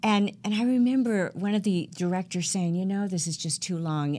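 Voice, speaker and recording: With an American accent, a woman speaks in a plain, everyday voice at medium pitch, moderate pace and with lively intonation. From US South, Georgia. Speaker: professional speaker and music artist. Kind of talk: interview. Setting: online radio show.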